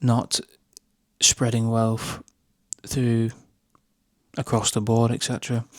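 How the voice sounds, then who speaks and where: A man's medium-pitched voice with a British accent, monotone and flat, at a very slow pace with long, frequent pauses, in a very clean recording with a silent background and a dry, close sound with no echo. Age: 20s. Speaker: YouTuber. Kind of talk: talking-head commentary. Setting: at home at night.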